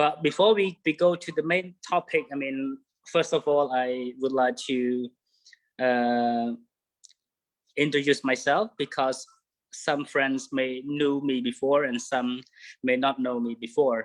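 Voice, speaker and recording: A man with a Cambodian accent speaks fairly slowly at a medium pitch, with ordinary pitch variation and long, frequent pauses. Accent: Cambodian (Khmer). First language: Khmer. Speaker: bird guide. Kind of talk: online presentation. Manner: halting.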